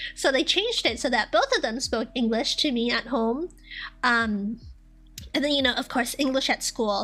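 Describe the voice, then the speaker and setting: Over music in the background, a woman with a high-pitched voice speaks at a moderate pace, with ordinary pitch variation and very even loudness. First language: Vietnamese. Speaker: streamer. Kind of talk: casual chat. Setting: live stream.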